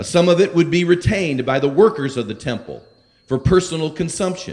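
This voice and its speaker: The intonation is lively as a man speaks. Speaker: preacher. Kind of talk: sermon. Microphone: handheld.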